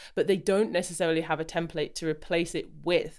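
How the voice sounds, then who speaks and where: In a very clean recording with a silent background, a woman with an English accent talks at a fairly quick pace and fairly low pitch, with ordinary pitch variation. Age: 30s. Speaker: podcast host and wellness coach. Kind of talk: interview. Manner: enthusiastic.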